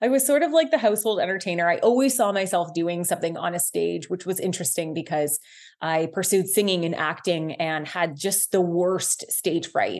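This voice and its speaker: Over a quiet background, a woman with an unremarkable speaking voice talks at a fairly quick pace with hardly any pauses, her pitch fairly low and its variation ordinary. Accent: Canadian. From Ontario, Canada. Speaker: social media creator and body confidence advocate. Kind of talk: interview conversation. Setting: studio.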